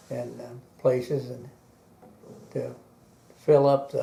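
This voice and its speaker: Here a man is speaking. He has an American accent. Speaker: war veteran. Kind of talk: interview answer. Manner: hesitant, halting.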